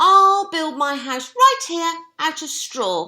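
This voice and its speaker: Squeaky and extremely high-pitched, a put-on character voice drags along at a very slow pace. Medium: read story.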